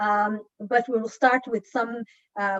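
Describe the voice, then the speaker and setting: A woman with a normal speaking voice talks at a fairly high pitch with fairly even intonation, the sound dry and close with no echo. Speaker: town hall moderator. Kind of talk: moderated panel discussion. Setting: video call.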